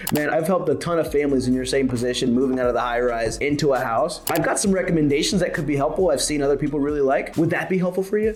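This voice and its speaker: A man with a fairly high pitch and ordinary pitch variation speaks very fast with hardly any pauses and very even loudness, amid noticeable background noise and audible room echo. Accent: American. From Pennsylvania, Harrisburg. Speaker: sales leader and sales coach. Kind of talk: sales training talk to camera. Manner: casual, conversational.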